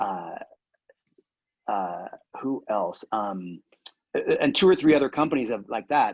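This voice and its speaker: Against a quiet background, a man talks at a medium pitch and a fairly slow pace. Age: 60s. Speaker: cheese company founder. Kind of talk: casual chat. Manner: halting.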